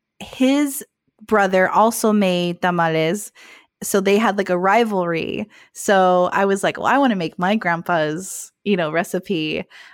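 In an American accent, a woman talks at medium pitch and a fairly slow pace. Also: ordinary pitch variation, very clean recording, silent background. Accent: US West, Mexican American. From Phoenix, Arizona. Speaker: actor, musician and content creator. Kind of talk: casual interview. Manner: hesitant fillers.

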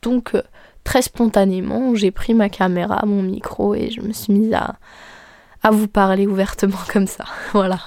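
On a very clean recording with a silent background, the speaker talks at a fairly slow pace in monotone, flat intonation, with long, frequent pauses. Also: woman, medium pitch for a woman. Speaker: podcast host and content creator. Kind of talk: casual monologue. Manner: calm, soft-ish tone.

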